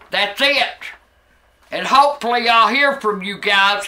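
At a very slow pace, a woman speaks in a high voice with ordinary pitch variation. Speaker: vlogger. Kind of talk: casual vlog rant. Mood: angry, complaining, profane. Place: home room. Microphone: camera far.

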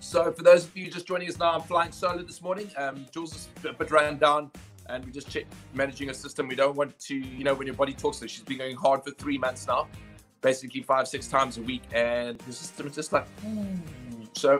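Over faint background music, a man speaks at a fairly quick pace with ordinary pitch variation and big swings in loudness. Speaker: fitness coach. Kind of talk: live stream chat to viewers. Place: home room. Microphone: webcam.

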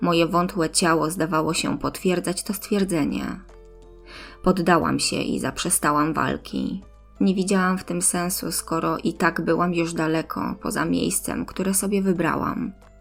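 Her delivery is fairly slow. Background music can be heard. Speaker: audiobook narrator. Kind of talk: audiobook-style story narration.

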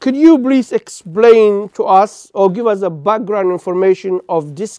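A man with a Somali accent speaks at a very slow pace in a dark, mellow tone with ordinary pitch variation. The sound is dry with no echo, and the background is quiet. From Somalia. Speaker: TV interviewer. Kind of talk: interview. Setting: studio. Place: studio. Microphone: lapel.

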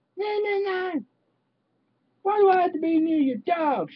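A woman uses a put-on character voice, squeaky and extremely high in pitch, at a moderate pace. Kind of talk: comic character impression. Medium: solo performance. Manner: brash, playful. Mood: whiny.

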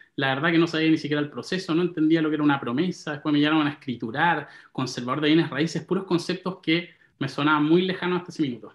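Speech in a Chilean accent runs at a very fast pace with ordinary pitch variation. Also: man. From Santiago, Chile. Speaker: property investor; interview guest. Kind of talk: interview. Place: home room. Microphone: video call.

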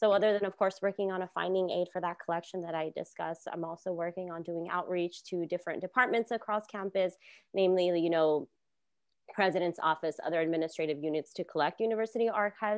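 Against a quiet background, a woman talks at a very fast pace in a fairly low pitch, her intonation fairly even and the sound dry with no echo. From Los Angeles area, California (Lynwood); California. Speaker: archivist; panelist. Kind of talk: panel discussion. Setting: video call. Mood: warm, reflective. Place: home room. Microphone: earbuds.

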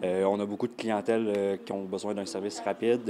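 In a dark, mellow tone, a man speaks at a moderate pace with a fairly low pitch and monotone, flat intonation. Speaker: lawyer. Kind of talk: interview statement. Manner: hesitant.

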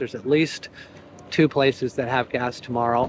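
Recorded dry with no echo and light background noise, a man speaks at a moderate pace. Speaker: motorcycle travel vlogger. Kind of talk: casual vlog chat. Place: street. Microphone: phone near.

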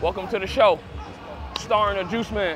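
Speaking at a fairly quick pace, a man is heard over faint background music in a dry recording with no echo. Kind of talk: on-field banter and trash talk. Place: stadium. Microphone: lapel.

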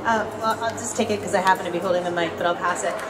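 Loud background noise sits behind a woman speaking with an American accent. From Boston. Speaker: poet and editor. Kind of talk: panel discussion. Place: hall. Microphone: handheld.

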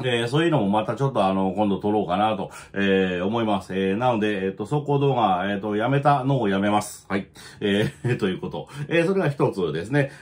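At a fairly quick pace, a man with a fairly low pitch speaks with lively intonation. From Japan. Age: 40s. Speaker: video channel host, trucker and career coach. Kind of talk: casual chat monologue. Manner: rambling, filler-heavy, self-deprecating. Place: home room. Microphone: phone near.

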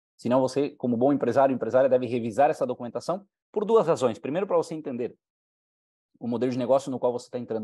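A man talks very fast with a Uruguayan accent and a dark, mellow tone. His pitch varies in an ordinary way, and the background is quiet. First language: Spanish (speaking Portuguese). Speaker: business presenter; presenter. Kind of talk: sales pitch. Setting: live online conference. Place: home room. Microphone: headset.

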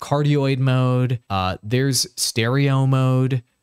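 A man speaks at medium pitch in a clear, smooth, slightly mellow tone.

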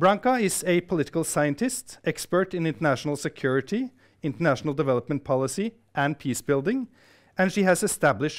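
A man talks at a fairly quick pace with very wide pitch swings against a quiet background. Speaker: research institute director and event host. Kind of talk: formal welcome speech and Q&A moderation. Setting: stage with audience, live-streamed. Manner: formal. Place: hall. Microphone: lapel.

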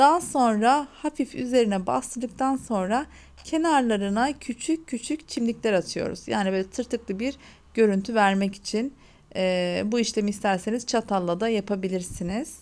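On a very clean recording with a silent background, a woman with an unremarkable speaking voice and fairly high pitch talks at a moderate pace with lively intonation. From Hatay, southern Turkey. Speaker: cooking channel host. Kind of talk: cooking tutorial.

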